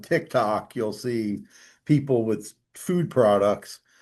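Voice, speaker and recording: Against a quiet background, a man with an ordinary speaking voice talks at medium pitch with ordinary pitch variation. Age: 60s. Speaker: business podcast host. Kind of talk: podcast interview.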